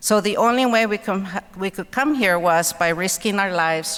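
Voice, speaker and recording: With a Spanish accent, a woman is talking. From Mexico (Guerrero), then Los Angeles from childhood. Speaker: author and keynote speaker. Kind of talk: keynote speech. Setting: convention center stage with audience.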